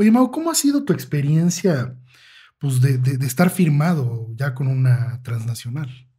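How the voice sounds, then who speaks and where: Here a man speaks at a fairly slow pace in a dark, mellow tone that is somewhat breathy. His pitch varies in an ordinary way. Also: fairly high pitch for a man. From Mexico. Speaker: podcast host. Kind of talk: interview. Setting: studio.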